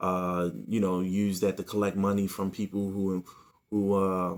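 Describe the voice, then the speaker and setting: A man's fairly low voice in a monotone, flat intonation, on a very clean recording with a silent background. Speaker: YouTuber reviewing movie purchases. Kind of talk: casual unboxing haul video. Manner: fast.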